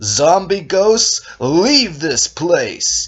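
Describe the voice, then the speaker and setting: A man puts on a character voice at a high pitch. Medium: read story. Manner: solemn, melodramatic heroics.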